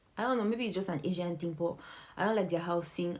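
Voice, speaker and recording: Speaking at a very fast pace, a woman with a fairly low pitch sounds animated, her pitch varying in an ordinary way. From Nigeria. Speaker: vlogger. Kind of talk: casual vlog monologue.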